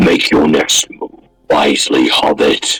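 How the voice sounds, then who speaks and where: This put-on character voice comes out raspy. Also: man. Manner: menacing.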